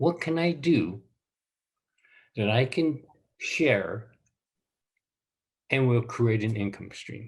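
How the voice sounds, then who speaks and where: Somewhat breathy, a man speaks at a very slow pace with lively intonation and long, frequent pauses. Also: medium pitch for a man. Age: 70s. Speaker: businessman. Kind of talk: interview.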